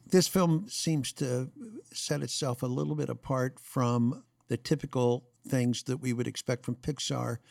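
An ordinary speaking voice from a man, medium pitch, ordinary pitch variation, fairly slow pace, very clean recording with a silent background, dry and close with no echo. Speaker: podcast host. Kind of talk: interview.

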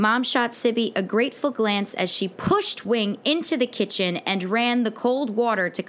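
Someone reads in a natural reading voice.

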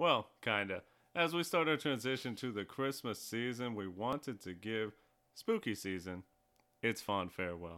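A man has an unremarkable speaking voice at a medium pitch. He speaks at a moderate pace. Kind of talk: casual chat. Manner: joking.

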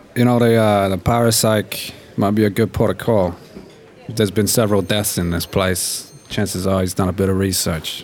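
The intonation is fairly even. Music plays in the background. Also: man, fairly low pitch for a man, moderate pace. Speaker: tabletop roleplay player. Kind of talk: tabletop roleplay with character voice.

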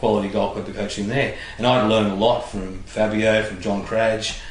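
The speaker has an Australian accent and talks at a moderate pace. Audible room echo and noticeable background noise come through. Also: man. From Australia, Illawarra (New South Wales). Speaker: former footballer and coach. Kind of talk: casual interview. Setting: at his home.

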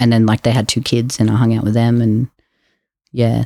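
A man with an Australian accent and a dark, mellow tone speaks in a flat monotone, recorded very cleanly with a silent background and a dry, close sound with no echo. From Queensland, Australia. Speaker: podcast guest sharing mental health story. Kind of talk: interview testimony.

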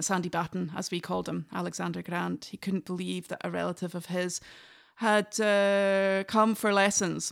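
A woman with a Scottish Highland accent, medium pitch and a fairly slow pace, in a dry, close sound with no echo on a very clean recording with a silent background. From northern Scotland, Inverness. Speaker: traditional fiddler. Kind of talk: casual interview conversation.

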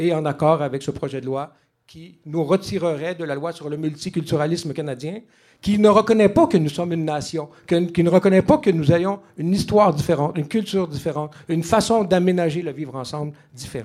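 The voice has a dark, mellow tone and ordinary pitch variation, moving at a fairly quick pace with big swings in loudness. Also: man. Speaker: political candidate, former journalist. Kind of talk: political debate. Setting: bar with live audience.

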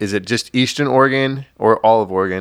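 On a very clean recording with a silent background and a dry, close sound with no echo, a man speaks with an ordinary speaking voice at a medium pitch and a moderate pace. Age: 30s. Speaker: podcast host. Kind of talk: casual interview.

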